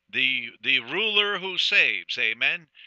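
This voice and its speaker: A man speaks at a very slow pace. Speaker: preacher. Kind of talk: sermon. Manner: earnest, repetitive pulpit style with frequent "amen"; halting, filler-heavy.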